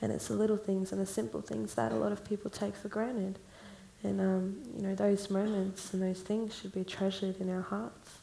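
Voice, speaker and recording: A woman's normal speaking voice at a medium pitch, fairly quick in pace, with ordinary pitch variation. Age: 20s. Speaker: songwriter. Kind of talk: panel discussion.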